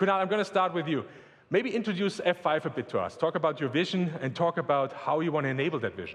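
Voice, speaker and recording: This man talks at a very fast pace in a German accent. His pitch is high, with ordinary variation. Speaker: tech company executive. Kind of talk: corporate presentation panel. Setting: stage with audience.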